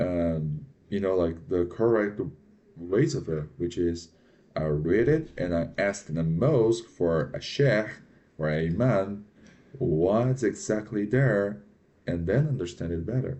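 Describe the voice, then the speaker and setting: A man with a non-native accent speaks at a fairly low pitch. His pace is fairly slow and his intonation lively. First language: not English. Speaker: reaction video commentator. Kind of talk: reaction commentary. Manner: halting, with many fillers.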